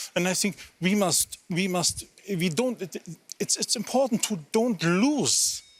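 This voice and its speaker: Fairly slow delivery with lively intonation over noticeable background noise. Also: man. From Germany. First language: German and Romanes. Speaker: politician. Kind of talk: interview. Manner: halting.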